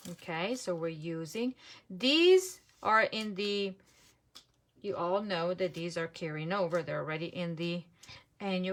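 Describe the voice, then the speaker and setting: Speaking at a fairly slow pace, a woman with a non-native accent uses a fairly low pitch and ordinary pitch variation. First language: not English. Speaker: papercraft demonstrator. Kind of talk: live craft tutorial. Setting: Facebook live stream. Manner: casual, thinking aloud.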